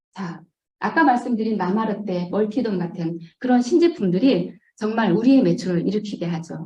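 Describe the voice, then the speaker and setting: Her dark, mellow voice is somewhat breathy and medium in pitch. The woman speaks at a moderate pace with lively intonation. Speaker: network marketing distributor. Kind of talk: business presentation. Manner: hesitant fillers.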